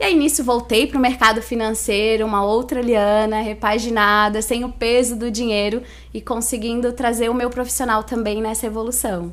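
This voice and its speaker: In a coastal Santa Catarina accent, the voice runs monotone and flat at a moderate pace with hardly any pauses, and audible room echo surrounds it. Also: woman, fairly high pitch for a woman. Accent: Santa Catarina coastal accent, noticeable. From Brazil, Itajaí, Santa Catarina. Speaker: financial education specialist. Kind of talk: podcast interview.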